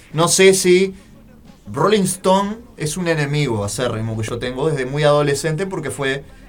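A man with lively intonation talks at a moderate pace, with audible room echo and noticeable background noise. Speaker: radio host. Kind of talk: casual radio show.

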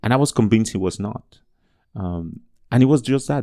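In a Spanish accent, a man talks at a fairly quick pace with ordinary pitch variation and a dark, mellow tone. The recording is very clean, with a silent background. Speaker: education advocate and speaker. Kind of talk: interview.

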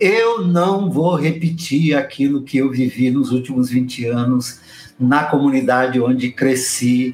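A man speaks at a very slow pace, his pitch fairly high for a man. Noticeable background noise runs under the recording. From Brazil, São Paulo state (raised in São Paulo city). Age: 60s. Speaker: Baptist pastor. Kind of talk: casual interview.

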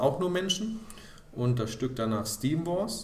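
Audible room echo hangs around this recording of a man. His intonation is lively. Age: 30s. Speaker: amateur theatre director. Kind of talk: casual interview.

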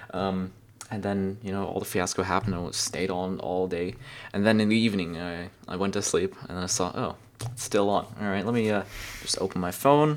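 A man with a German accent at a fairly quick pace. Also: fairly low pitch for a man, ordinary pitch variation. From Germany. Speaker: podcast co-host and streamer. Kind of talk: casual chat.

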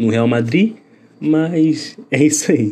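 A man's dark, mellow voice moves through ordinary pitch variation. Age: 20s. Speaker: podcast host, journalism student. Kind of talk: casual chat.

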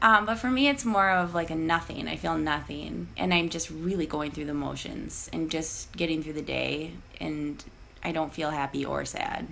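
A woman with an American accent speaks at a moderate pace against noticeable background noise. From Iowa, living in St. Paul, Minnesota. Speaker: podcast guest. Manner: candid, conversational, frequent fillers and laughs.

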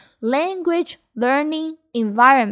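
A woman's high-pitched voice with a Taiwanese accent and lively intonation, on a very clean recording with a silent background. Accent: Taiwanese Mandarin accent in English. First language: Mandarin Chinese. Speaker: Mandarin teacher. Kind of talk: bilingual language lesson podcast. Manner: code-switching between Mandarin and English.

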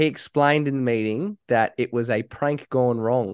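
An Australian-accented man at a medium pitch with ordinary pitch variation, over a quiet background. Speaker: podcast host. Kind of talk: casual banter.

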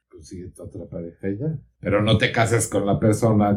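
Somewhat breathy, a man speaks in a dark, mellow tone at a fairly low pitch. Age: 50s. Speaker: psychotherapist. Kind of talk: interview.

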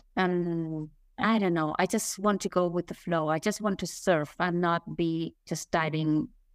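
Speaking at a fairly slow pace with a Spanish accent, a woman uses fairly even intonation in a fairly low pitch. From Spain. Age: 50s. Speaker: author and nonprofit leader. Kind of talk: interview. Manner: halting.

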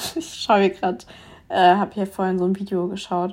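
A woman with a plain, everyday voice and medium pitch talks at a fairly quick pace on a very clean recording with a silent background. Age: 20s. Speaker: podcast host. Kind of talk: casual solo podcast monologue.

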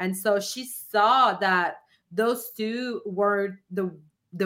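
At a very slow pace, a woman speaks in a bright, sharp tone with ordinary pitch variation. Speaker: podcast host and spiritual coach. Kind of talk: casual interview chat.

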